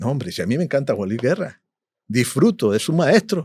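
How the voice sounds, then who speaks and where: This man's tone is dark and mellow. His pitch swings very widely. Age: 60s. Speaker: musician and producer. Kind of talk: interview. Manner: animated.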